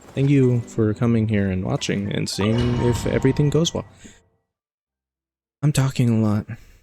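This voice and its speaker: A soft-spoken man with a medium pitch talks at a moderate pace with fairly even intonation and long, frequent pauses, music playing in the background. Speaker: gaming streamer. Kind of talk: live gameplay commentary.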